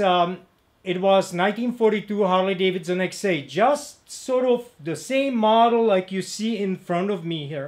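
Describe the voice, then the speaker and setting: Speaking with a Czech accent, the man uses a high pitch and ordinary pitch variation. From Czechoslovakia. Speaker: motorcycle mechanic and parts dealer. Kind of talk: video introduction. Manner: halting, many fillers.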